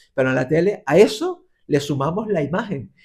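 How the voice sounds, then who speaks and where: This man has a high-pitched voice with a Canarian accent. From Canary Islands. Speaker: radio and TV presenter. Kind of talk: interview answer.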